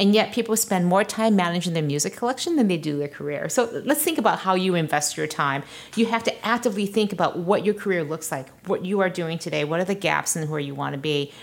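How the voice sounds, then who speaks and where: At a very fast pace, a woman talks at medium pitch with lively intonation. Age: 40s. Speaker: tech founder and CEO, author. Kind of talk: interview.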